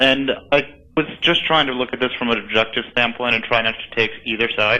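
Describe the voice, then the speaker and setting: The man talks at a moderate pace in a medium pitch, keeping his intonation fairly even. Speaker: caller. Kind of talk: phone call-in question. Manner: talkative, rambling.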